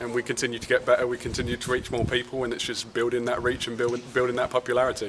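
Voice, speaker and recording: Over noticeable background noise, a man with a London accent speaks at a fairly quick pace in a medium pitch with monotone, flat intonation. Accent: London English, lingering. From London, England. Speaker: football club general manager. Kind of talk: interview. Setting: outdoors at training field.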